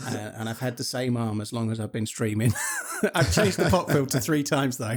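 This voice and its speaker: A man with an English accent speaks at a fairly quick pace and medium pitch, with ordinary pitch variation and noticeable background noise. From England. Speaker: streamer. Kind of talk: casual chat. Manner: fluent, moderate pace. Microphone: close USB condenser mic with pop filter.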